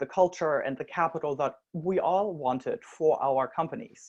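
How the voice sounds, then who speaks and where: Against a quiet background, a woman with a German accent speaks at a moderate pace. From Germany. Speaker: social enterprise co-founder. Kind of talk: conference talk.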